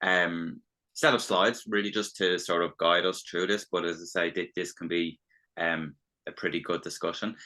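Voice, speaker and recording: A man with an Irish accent speaks at a moderate pace with fairly even intonation, against a quiet background. His pitch is very deep and low, and his tone is bright and sharp. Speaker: business development consultant. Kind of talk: webinar presentation. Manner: halting, many fillers and restarts.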